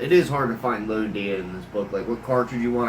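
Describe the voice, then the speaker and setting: Amid noticeable background noise and audible room echo, a man speaks at a fairly quick pace in a medium pitch. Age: 30s. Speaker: gun hobbyist vlogger. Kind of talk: casual talk to camera. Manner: halting, many fillers.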